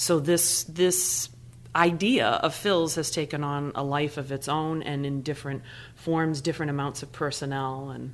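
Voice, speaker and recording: On a very clean recording with a silent background, a woman with an American accent speaks at a moderate pace in a very deep, low pitch with fairly even intonation. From Massachusetts, New Bedford. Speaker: theater company artistic director. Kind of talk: casual interview. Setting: studio.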